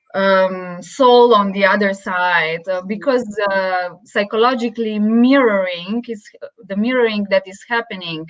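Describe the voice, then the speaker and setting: Over noticeable background noise, a woman speaks at a fairly slow pace and medium pitch with ordinary pitch variation. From Slovenia. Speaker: interviewer, yoga therapy student. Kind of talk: interview. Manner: hesitant, many fillers.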